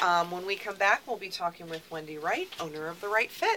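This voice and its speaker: There is noticeable background noise as a woman talks at a fairly quick pace. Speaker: radio co-host, library communications staff. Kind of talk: casual radio talk show chat. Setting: radio studio.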